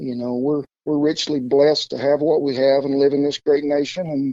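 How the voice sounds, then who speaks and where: This man has an Oklahoma accent and a fairly high pitch. He talks at a moderate pace. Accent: Oklahoma Southern. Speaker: cowboy cook. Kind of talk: interview answer.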